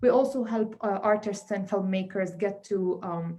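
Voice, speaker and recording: The voice belongs to a woman. It has a somewhat breathy quality. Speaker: community arts organization representative. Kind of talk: event speech. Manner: fast; halting with many fillers.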